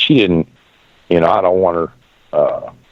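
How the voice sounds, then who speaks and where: Noticeable background noise runs under the recording. The speaker talks at a fairly quick pace in an American accent. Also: man. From Pennsylvania, Erie. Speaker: radio show host, widower. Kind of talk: casual chat. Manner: halting.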